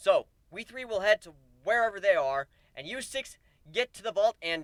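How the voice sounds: A natural reading voice carries the clip.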